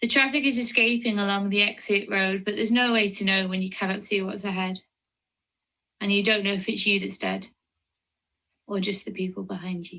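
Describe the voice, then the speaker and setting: Her tone bright and sharp, a woman with a medium pitch talks at a fairly quick pace with fairly even intonation and long, frequent pauses. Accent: Lancashire. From Lancashire, northern England. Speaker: poet. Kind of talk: poetry reading.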